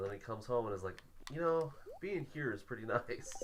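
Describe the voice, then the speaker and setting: This man has an American accent and speaks at a fairly quick pace with lively intonation. There is noticeable background noise. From US Midwest, Illinois. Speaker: streamer. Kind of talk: casual chat. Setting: live stream, shared mic at a table. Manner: quiet.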